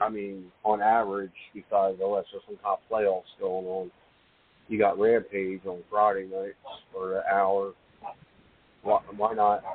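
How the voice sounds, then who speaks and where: A man speaks at a fairly slow pace in a fairly low, monotone voice. His loudness swings widely, broken by long, frequent pauses. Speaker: caller. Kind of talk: casual chat. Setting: phone call.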